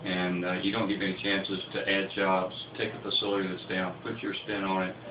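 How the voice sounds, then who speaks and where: A man with an American accent speaks at a fairly quick pace and a fairly low pitch. Audible room echo and noticeable background noise are present. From US South, Lower Alabama. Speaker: pulp mill CEO. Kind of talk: radio interview.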